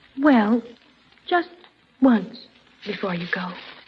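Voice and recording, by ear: A woman's put-on character voice at medium pitch, slow and husky with a rough edge and lively intonation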